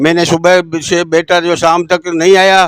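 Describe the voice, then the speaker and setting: A man's high voice in monotone, flat intonation, with a dry, close sound and no echo. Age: 70s. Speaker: party worker making a complaint. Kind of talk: testimony.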